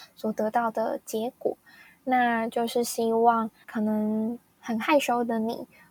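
A woman speaks with a fairly high pitch in a dry, close sound with no echo. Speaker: podcast host. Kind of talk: casual storytelling monologue.

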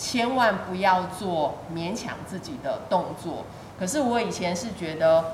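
The speech is very slow, with lively intonation. Audible room echo and noticeable background noise surround it. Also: woman, medium pitch for a woman. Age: 50s. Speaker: fitness student sharing surgery recovery story. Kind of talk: interview testimony.

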